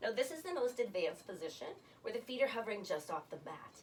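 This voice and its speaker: A woman's high-pitched voice with very wide pitch swings, a fairly quick pace, and noticeable background noise. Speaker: Pilates instructor. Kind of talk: guided exercise class instruction. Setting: home basement studio.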